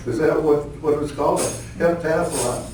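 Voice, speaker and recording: Through noticeable background noise and audible room echo, a man talks at a fairly high pitch. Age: 80s+. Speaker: wrestling coach. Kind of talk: award acceptance speech. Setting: banquet hall with audience. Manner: halting.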